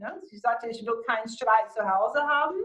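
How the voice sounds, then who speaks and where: Her pitch is fairly high for a woman, with ordinary pitch variation. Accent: American. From USA. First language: English (speaking German). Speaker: motivational speaker and coach. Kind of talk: interview.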